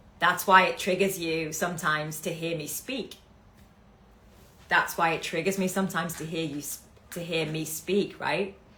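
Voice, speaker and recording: A woman with a fairly low pitch talks at a moderate pace in a bright, sharp tone, her intonation fairly even. Her loudness swings widely, long pauses come often, and room echo can be heard. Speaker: business coach. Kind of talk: live stream talk. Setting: livestream.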